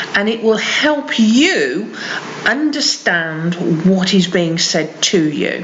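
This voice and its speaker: With a West Midlands accent, a woman talks very slowly at a medium pitch amid audible room echo and noticeable background noise. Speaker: English teacher. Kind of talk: tutorial.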